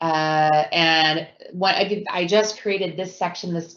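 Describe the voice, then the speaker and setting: This woman speaks at a fairly low pitch with ordinary pitch variation. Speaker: education program manager presenting to teachers. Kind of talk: live webinar presentation. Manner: animated.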